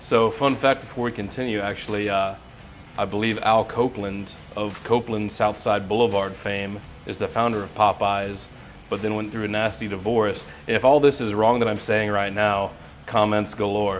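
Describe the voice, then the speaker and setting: Music plays behind a man speaking at a moderate pace. His pitch is fairly low and his intonation monotone and flat. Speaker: podcast host. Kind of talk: casual interview hosting.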